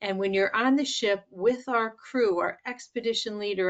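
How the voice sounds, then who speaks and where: Against a quiet background, a normal speaking voice moves at a moderate pace with fairly even intonation. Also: woman. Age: 60s. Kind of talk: testimonial talk.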